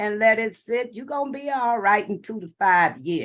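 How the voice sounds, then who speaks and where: A woman's animated, fairly high voice. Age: 70s. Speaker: network marketing distributor. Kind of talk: testimony.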